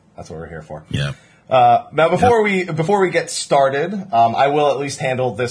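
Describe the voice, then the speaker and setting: A man with an American accent talks at a fairly quick pace, his somewhat breathy voice making very wide pitch swings. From New Jersey. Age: 20s. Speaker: podcast host. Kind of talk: casual chat.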